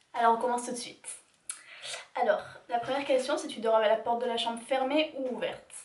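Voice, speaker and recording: A woman talks at a fairly quick pace in a high-pitched voice. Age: 20s. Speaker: YouTuber. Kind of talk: casual talk to camera.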